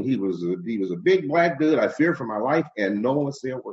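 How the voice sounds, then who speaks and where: A man with an American accent speaks at a fairly high pitch, his voice swinging very widely up and down, with vocal fry. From Cleveland, Ohio (Glenville). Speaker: radio host and comedian. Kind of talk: interview conversation.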